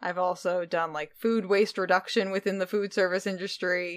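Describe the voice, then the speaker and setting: In a very clean recording with a silent background, a woman speaks at a moderate pace and a fairly low pitch. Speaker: podcast host. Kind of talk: casual chat. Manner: animated.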